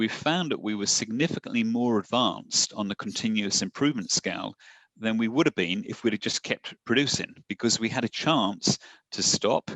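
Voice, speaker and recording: A man with an English accent speaks at a fairly quick pace, fairly low in pitch with ordinary pitch variation. The sound is dry and close with no echo against a quiet background. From southern England, Portsmouth. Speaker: satellite company executive. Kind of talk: podcast interview.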